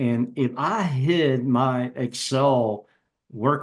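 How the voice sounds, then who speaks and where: Medium-pitched man's voice with ordinary pitch variation, an unremarkable speaking voice. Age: 60s. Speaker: business executive and podcast guest. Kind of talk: casual interview conversation.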